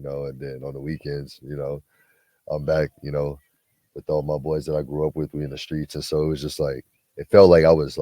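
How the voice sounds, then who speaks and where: A man's very deep, low voice, relaxed, dark and mellow, at a fairly quick pace, dry and close with no echo. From Southern California (Twentynine Palms). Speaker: former Marine, basketball player. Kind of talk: casual interview. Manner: relaxed, lots of fillers.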